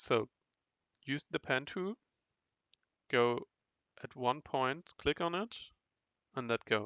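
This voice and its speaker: At a very slow pace, a man speaks in a medium pitch, the sound dry and close with no echo. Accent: non-native. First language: not English. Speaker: online course instructor. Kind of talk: tutorial. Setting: recorded online class with chat. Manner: halting, repeats words.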